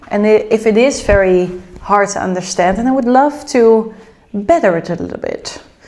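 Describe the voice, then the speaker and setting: With a Dutch accent, a woman speaks at a fairly high pitch with ordinary pitch variation over noticeable background noise. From Netherlands. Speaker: lifestyle vlogger. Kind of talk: casual vlog chat.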